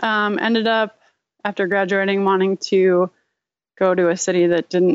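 A woman's plain, everyday voice with an American accent, at a moderate pace with fairly even intonation, in a dry, close sound with no echo and a quiet background. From Rochester, New York. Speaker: designer and illustrator. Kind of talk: casual interview chat.

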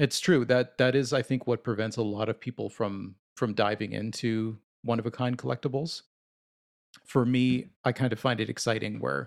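A man with vocal fry talks at a medium pitch, keeping his intonation fairly even. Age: 30s. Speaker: collector and podcast co-host. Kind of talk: casual chat.

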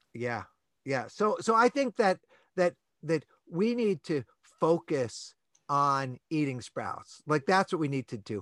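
The voice has an enthusiastic tone, an American accent and very wide pitch swings at a fairly slow pace. Long, frequent pauses come through in a dry, close sound with no echo and a quiet background. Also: man, fairly high pitch for a man. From New York. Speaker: plant-based advocate guest. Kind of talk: interview. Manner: enthusiastic, high energy.

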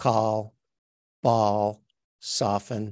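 A man speaks with an Australian accent. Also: dry, close sound with no echo. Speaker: life coach and actor. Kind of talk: interview. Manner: halting.

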